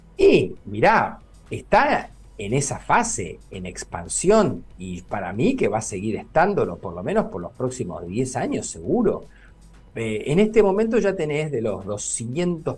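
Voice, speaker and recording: Fairly slow speech from a fairly high-pitched man, very wide pitch swings, music in the background. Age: 60s. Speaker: neurologist. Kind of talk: interview.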